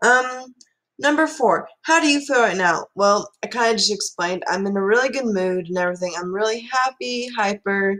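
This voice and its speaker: A woman's fairly high, lively voice with an American accent, at a moderate pace. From Missouri (Joplin). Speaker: vlogger. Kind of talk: casual chat. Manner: animated.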